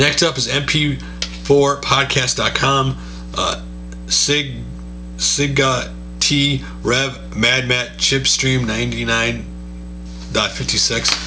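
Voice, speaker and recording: Over music in the background, a man talks with long, frequent pauses amid audible room echo. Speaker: gaming YouTuber doing channel shoutouts. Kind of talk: casual video roundup and channel recommendations. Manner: fast.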